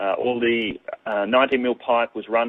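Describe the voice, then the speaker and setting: A man talks with an Australian accent. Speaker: water conservation presenter. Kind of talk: webinar presentation. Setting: online webinar. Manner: fast; halting, many fillers.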